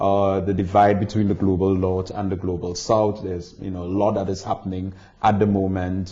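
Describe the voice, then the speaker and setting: A man's fairly low-pitched voice at a fairly quick pace. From Caribbean. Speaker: tax barrister and visiting lecturer. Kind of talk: interview. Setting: barristers' chambers in London.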